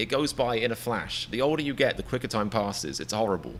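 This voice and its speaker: A man's medium-pitched voice with an English accent, bright and sharp in tone, with vocal fry and a fairly quick pace. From England. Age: 30s. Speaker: comedian reaction streamer. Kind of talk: live stream chat. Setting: live stream. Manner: animated; stammering repetitions.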